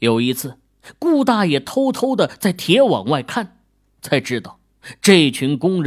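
The speaker reads aloud naturally. Nothing can be heard behind the voice.

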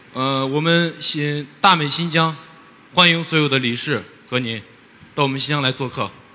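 The speaker talks at a moderate pace with ordinary pitch variation and long, frequent pauses. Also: man, fairly high pitch for a man. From Xinjiang, Hotan. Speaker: rural teacher. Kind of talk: audience question. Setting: stage with audience. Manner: halting.

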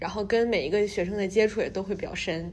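Talking fairly quickly in a plain, everyday voice, the woman holds a medium pitch that shows ordinary variation. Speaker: journalism student. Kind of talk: casual chat.

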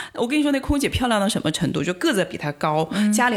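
The speaker talks at a very fast pace in an animated tone. The recording is very clean, with a silent background. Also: woman. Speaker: postdoctoral researcher. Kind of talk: casual chat.

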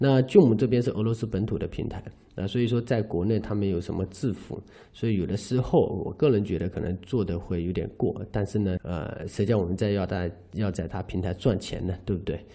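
His tone dark and mellow, a man speaks at a fairly low pitch and fairly quick pace with ordinary pitch variation. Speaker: cross-border e-commerce seller and podcast host. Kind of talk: informal educational monologue.

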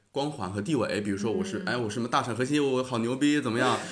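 This man's voice sits at medium pitch with ordinary pitch variation. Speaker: graduate student and podcaster. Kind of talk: casual chat. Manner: hesitant, many fillers.

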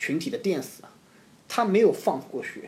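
A man speaks with lively intonation at a fairly quick pace. His tone is dark and mellow. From Zhoushan, Zhejiang, China. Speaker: former overseas student. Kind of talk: casual chat.

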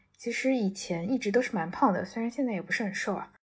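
Somewhat breathy, a woman speaks at a fairly high pitch and fairly quick pace with ordinary pitch variation. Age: 20s. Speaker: interviewee. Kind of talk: personal testimony.

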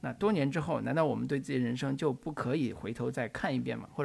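With vocal fry and lively intonation, a man speaks at a fairly quick pace in a medium pitch, in a very clean recording with a silent background. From northern China. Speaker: film podcast host. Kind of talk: casual chat.

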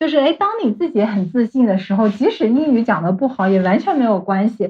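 A somewhat breathy woman's voice, fairly high in pitch, at a fairly quick pace. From mainland China. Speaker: life coach. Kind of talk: interview.

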